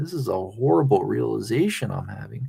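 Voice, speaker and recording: A man with an American accent talks at a fairly quick pace, with vocal fry in his voice. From North Central Pennsylvania. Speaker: live streamer. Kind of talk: casual live stream chat.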